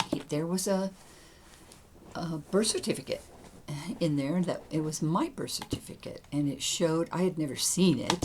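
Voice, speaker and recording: A woman with a fairly low pitch speaks with long, frequent pauses against noticeable background noise. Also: ordinary pitch variation, moderate pace. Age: 70s. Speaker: gaming YouTuber. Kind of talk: casual gameplay commentary and personal storytelling. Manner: halting.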